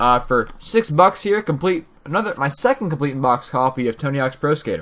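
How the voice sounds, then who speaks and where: Man at a fairly high pitch, lively intonation, fairly quick pace. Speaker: gaming YouTuber. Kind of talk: casual vlog commentary. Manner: fast.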